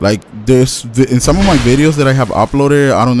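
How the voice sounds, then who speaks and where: Music plays in the background as a man of medium pitch talks at a fairly quick pace. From Latin America. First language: Spanish. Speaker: gaming YouTuber. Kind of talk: gameplay commentary. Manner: halting, rambling with fillers.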